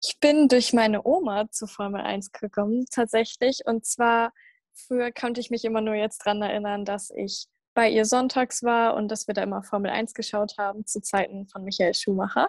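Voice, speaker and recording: A woman with an ordinary speaking voice talks at a fairly high pitch and moderate pace with fairly even intonation, the sound dry and close with no echo against a quiet background. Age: young. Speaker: podcast host. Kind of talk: casual chat.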